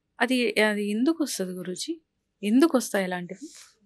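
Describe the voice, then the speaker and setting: Lively intonation colors a plain, everyday voice belonging to a woman with a fairly high pitch. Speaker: interviewer. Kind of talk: studio interview questions.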